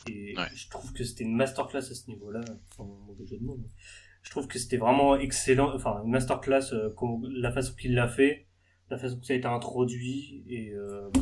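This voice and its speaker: A man with an unremarkable speaking voice talks at a moderate pace in a medium pitch, his intonation fairly even but his loudness swinging widely. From Normandy, France. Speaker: podcast host. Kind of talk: casual chat.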